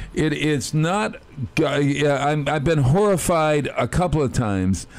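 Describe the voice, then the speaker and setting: A man's fairly high voice at a very slow pace, lively in intonation, with noticeable background noise. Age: 70s. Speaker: community radio host. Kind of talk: casual chat. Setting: studio.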